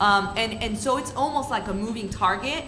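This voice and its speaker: A woman with a Spanish accent and fairly high pitch, ordinary pitch variation, a moderate pace, audible room echo and noticeable background noise. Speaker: student panelist. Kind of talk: panel discussion.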